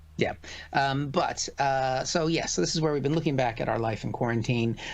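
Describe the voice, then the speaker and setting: Fairly high for a man, this plain, everyday voice moves at a fairly quick pace with ordinary pitch variation. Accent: American. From United States. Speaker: comedian. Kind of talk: casual chat. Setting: live stream.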